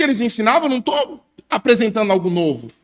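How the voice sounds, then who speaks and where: A raised, projected male voice with a bright, sharp tone and lively intonation. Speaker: preacher. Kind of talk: sermon.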